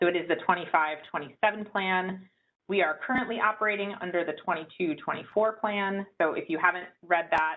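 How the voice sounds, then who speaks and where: The speech moves at a fairly quick pace with ordinary pitch variation. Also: woman. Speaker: state agency official presenting plan. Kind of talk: public hearing presentation. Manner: fast.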